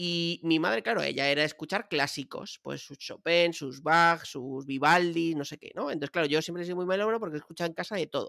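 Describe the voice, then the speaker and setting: A man's high-pitched, bright, sharp voice, animated and fairly quick with hardly any pauses, ordinary pitch variation and big swings in loudness, in a dry sound with no echo over a quiet background. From Madrid, Spain; Spain. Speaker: podcast co-host. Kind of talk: casual chat. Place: home room. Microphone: studio mic.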